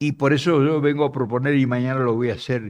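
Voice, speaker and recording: A man speaks in a fairly high voice. The recording is very clean, with a silent background. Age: 80s+. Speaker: political activist and speaker. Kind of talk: speech to an audience.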